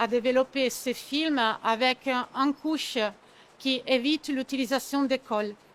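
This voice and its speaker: A woman with an Italian accent speaks very slowly in a high pitch, with monotone, flat intonation and very even loudness. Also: dry, close sound with no echo. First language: Italian (speaking French). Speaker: sales manager at packaging company. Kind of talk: trade show interview. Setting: trade fair. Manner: halting, many hesitations.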